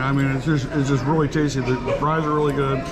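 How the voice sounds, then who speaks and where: Loud music plays behind the voice. The speaker is a man. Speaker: food vlogger. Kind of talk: casual vlog chat. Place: cafe. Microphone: phone near.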